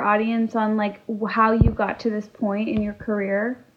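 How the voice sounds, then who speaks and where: A woman speaks at a moderate pace and fairly high pitch. It is an ordinary speaking voice. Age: 30s. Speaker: podcast co-host. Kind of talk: casual chat.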